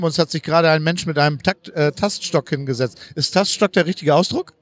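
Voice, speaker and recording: Speaking at a fairly quick pace, a man with a fairly high pitch and ordinary pitch variation sounds dry and close, with no echo. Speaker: podcast host, wheelchair user. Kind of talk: casual walking interview. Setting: convention hall. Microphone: distorted recording.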